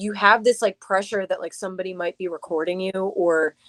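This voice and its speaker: Here a woman with an unremarkable speaking voice talks at a fairly quick pace and medium pitch. Her intonation stays fairly even, and the sound is dry and close with no echo. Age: 30s. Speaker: singer. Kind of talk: casual chat.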